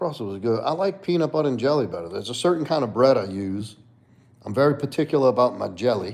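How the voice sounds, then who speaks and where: A man speaks very fast in a New Orleans accent. His medium pitch rises and falls in very wide swings. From US South, New Orleans. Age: 30s. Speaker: livestreamer and fitness coach. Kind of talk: casual chat. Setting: live stream.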